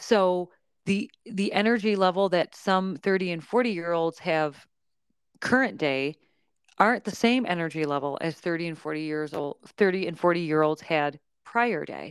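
On a very clean recording with a silent background and a dry, close sound with no echo, a woman with an ordinary speaking voice talks at a fairly slow pace with ordinary pitch variation. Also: fairly low pitch for a woman. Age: 40s. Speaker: podcast host and yoga instructor. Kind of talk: casual chat.

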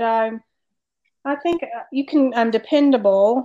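Speaking at a fairly slow pace, a woman has an unremarkable speaking voice with a fairly high pitch. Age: 40s. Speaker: podcast co-host. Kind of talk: casual chat.

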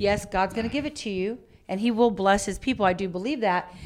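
This woman's medium-pitched voice carries fairly even intonation. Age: 50s. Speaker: podcast co-host, business owner. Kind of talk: casual chat.

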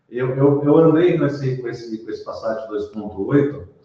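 The room echo is audible. A man speaks at a fairly slow pace. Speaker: car mechanic. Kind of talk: casual chat.

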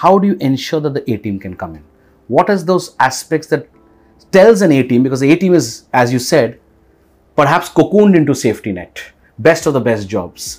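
At a moderate pace, a man with an Indian accent speaks with a fairly high pitch, very wide pitch swings and vocal fry. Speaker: podcast host. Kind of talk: casual interview conversation.

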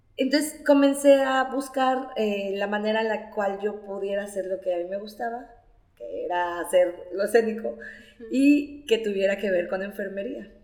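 In a room with audible echo and noticeable background noise, a woman speaks at a moderate pace and medium pitch with ordinary pitch variation. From Nayarit, Mexico. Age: 30s. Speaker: storyteller. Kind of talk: interview.

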